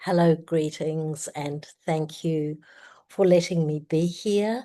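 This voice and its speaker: At a very slow pace, a woman speaks in a New Zealand accent. Her voice has a fairly low pitch and a dark, mellow tone. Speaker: family mediator. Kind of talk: conference talk.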